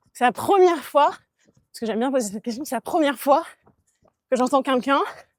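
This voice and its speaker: A woman with a Bordeaux accent talks at a fairly quick pace and high pitch. Her intonation is lively, and her loudness swings widely. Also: dry, close sound with no echo. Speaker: podcast co-host. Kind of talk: casual chat.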